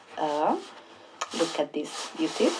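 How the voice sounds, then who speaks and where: The voice belongs to a woman. Her speech carries a non-native accent. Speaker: diamond painting hobbyist. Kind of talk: casual talk to camera.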